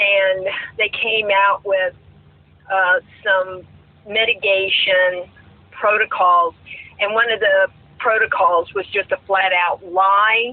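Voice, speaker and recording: A woman with an American accent speaks very slowly in a monotone, flat delivery at very even loudness, with long, frequent pauses and noticeable background noise. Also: medium pitch for a woman. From South Florida. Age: 60s. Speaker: retired teacher and full-time RVer. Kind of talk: casual chat.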